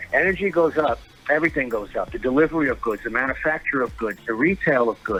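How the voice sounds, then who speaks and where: With music in the background, a man's words come at a very fast pace. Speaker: union member and transit worker. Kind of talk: casual interview on live show. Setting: studio. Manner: loud; halting, repetitive.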